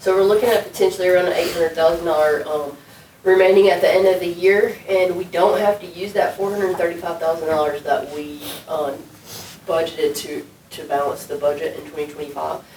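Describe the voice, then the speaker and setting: Amid noticeable background noise and audible room echo, a woman with a fairly low pitch speaks at a fairly quick pace with fairly even intonation and big swings in loudness. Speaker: city administrator. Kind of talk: budget presentation at council work session. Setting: city council meeting room.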